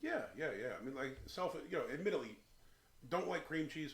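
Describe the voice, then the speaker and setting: Audible room echo accompanies speech delivered very fast. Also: man. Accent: Philadelphia. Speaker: beer reviewer, channel host. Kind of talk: casual chat, beer review. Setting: beer shed. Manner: hesitant, filler-heavy.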